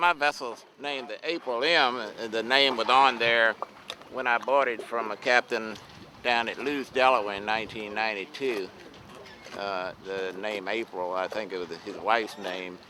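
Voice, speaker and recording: Over noticeable background noise, a man with an American accent speaks at a moderate pace, with a medium pitch and ordinary pitch variation. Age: 70s. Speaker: fishing boat captain. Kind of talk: interview.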